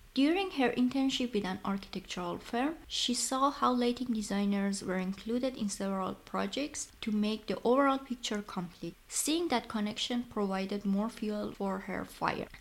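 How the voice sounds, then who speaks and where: Speaking with an Iranian accent, a woman of fairly high pitch keeps a moderate pace with hardly any pauses and ordinary pitch variation. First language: Persian. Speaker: podcast host, lighting designer. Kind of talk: scripted narration.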